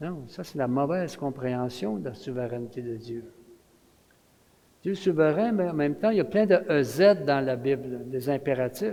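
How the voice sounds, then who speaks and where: With a Quebec accent, a man speaks at a moderate pace in a fairly high voice with lively intonation. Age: 70s. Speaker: retired pastor, guest preacher. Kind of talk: sermon. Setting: church. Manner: animated.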